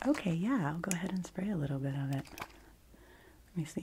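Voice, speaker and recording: A soft-spoken woman's dark, mellow, somewhat breathy voice at a moderate pace. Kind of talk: ASMR roleplay. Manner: whispered in parts.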